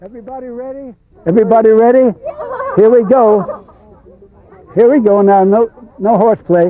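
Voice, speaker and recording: A man speaks with an American accent, his pitch high and ordinary in variation. Long, frequent pauses break up his speech, and his loudness swings widely. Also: moderate pace. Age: 80s+. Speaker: local historian. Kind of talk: casual chat.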